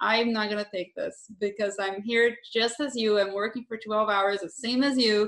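A woman's fairly high voice in a Brazilian accent, at a moderate pace, with monotone, flat intonation. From southern Brazil. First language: Portuguese. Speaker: filmmaker. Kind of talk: interview.

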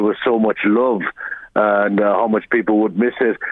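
A man speaks in an Irish accent at a moderate pace. His intonation is monotone and flat. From Ireland. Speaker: small business owner. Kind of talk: radio interview. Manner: halting.

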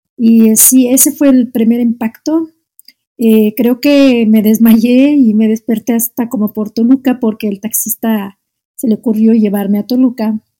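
A woman's voice has a dark, mellow tone at a fairly slow pace. The sound is dry and close, with no echo. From Algeria, Oran. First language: Arabic (speaking Spanish). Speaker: Arabic teacher. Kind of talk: casual interview. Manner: halting, frequent repetitions.

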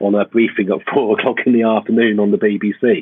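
A man talks at a fairly quick pace in a normal speaking voice. His medium pitch holds fairly even intonation. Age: 50s. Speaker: academic geographer. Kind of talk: casual interview chat. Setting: video call from home.

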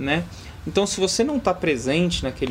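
A man speaks at a fairly quick pace. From Rio de Janeiro, Brazil. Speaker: tech company partnerships manager. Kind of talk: podcast interview. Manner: halting, many fillers.

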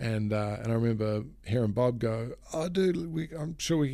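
With a New Zealand accent, a man talks at a moderate pace in a dark, mellow tone, his medium-pitched voice rising and falling in lively intonation. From New Zealand, Auckland. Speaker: pro wakeboarder and keynote speaker. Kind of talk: casual interview. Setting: face to face.

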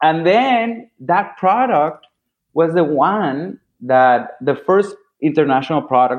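A man with a Spanish accent speaks with very wide pitch swings. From Venezuela, Caracas. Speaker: designer. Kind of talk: interview. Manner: animated.

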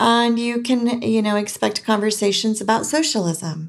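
With an American accent, a woman talks fairly slowly at a fairly high pitch, her intonation lively. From California. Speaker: podcast host. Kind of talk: casual monologue. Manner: animated.

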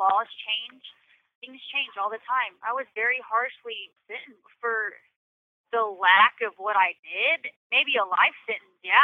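An ordinary speaking voice from a woman, fairly high in pitch, fairly slow, with ordinary pitch variation and big swings in loudness. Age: 30s. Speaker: prison inmate. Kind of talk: interview.

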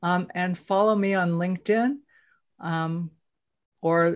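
Against a quiet background, a woman with a normal speaking voice talks at a fairly slow pace and fairly low pitch, with ordinary pitch variation. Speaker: podcast host. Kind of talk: casual interview chat. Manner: warm, conversational.

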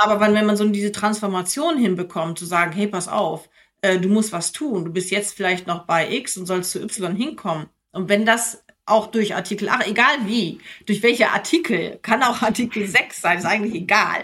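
With ordinary pitch variation and a medium pitch, a woman talks in an ordinary speaking voice. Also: moderate pace. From Germany, near Minden (East Westphalia). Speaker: investment entrepreneur. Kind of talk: interview conversation.

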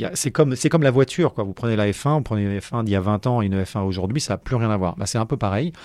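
Over a quiet background, a man speaks at a fairly quick pace, his medium pitch moving with ordinary variation. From Paris, France. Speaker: professional sailor. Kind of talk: interview. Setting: studio. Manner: hesitant, many fillers.

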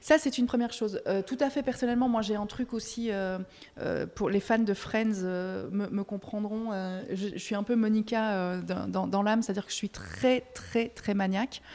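In a Belgian accent, a woman speaks at a fairly slow pace. Her pitch is fairly high. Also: fairly even intonation. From Belgium. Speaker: music press officer. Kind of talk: casual interview. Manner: hesitant, many repetitions and fillers.

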